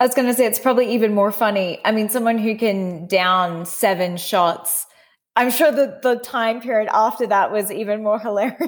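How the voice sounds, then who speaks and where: A woman speaks at a moderate pace with an Australian accent and a fairly high pitch. Her pitch varies in the ordinary way, and the recording is very clean with a silent background. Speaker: podcast host. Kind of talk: interview chat.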